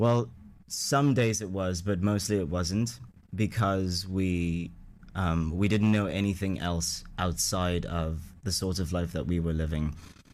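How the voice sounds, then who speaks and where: The speech moves at a fairly slow pace. Room echo is audible. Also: man, very deep, low pitch for a man, ordinary pitch variation. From Ghana, Accra. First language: Ewe. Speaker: radio interview guest. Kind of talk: interview, telling life story.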